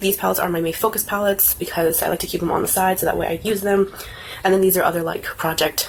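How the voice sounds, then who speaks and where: Noticeable background noise accompanies a woman with a fairly low pitch. She talks at a very fast pace. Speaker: beauty vlogger. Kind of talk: casual vlog tutorial. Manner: casual, filler words.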